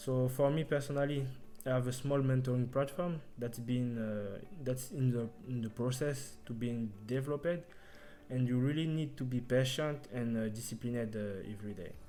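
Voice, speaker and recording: A man with a non-native accent and a medium pitch speaks at a moderate pace with ordinary pitch variation, with audible room echo and music in the background. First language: not English. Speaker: front-end developer. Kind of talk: interview. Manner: halting.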